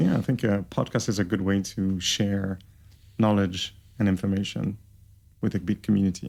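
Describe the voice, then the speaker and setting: Using a French Canadian accent, a man with a fairly low pitch talks at a moderate pace with fairly even intonation, very even loudness, and long, frequent pauses. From Quebec, Canada. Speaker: entrepreneur and plant scientist. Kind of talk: casual interview.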